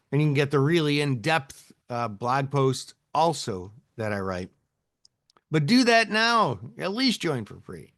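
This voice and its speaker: In a Midwestern accent, a man speaks at a fairly slow pace with a fairly high pitch, very wide pitch swings and big swings in loudness. The background is quiet. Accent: Midwest US. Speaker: options trading educator. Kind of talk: live webinar tutorial. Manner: casual, chatty.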